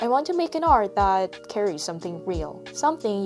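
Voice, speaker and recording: A woman speaks with a Korean accent. Music can be heard in the background. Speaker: artist. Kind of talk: reflective vlog voiceover.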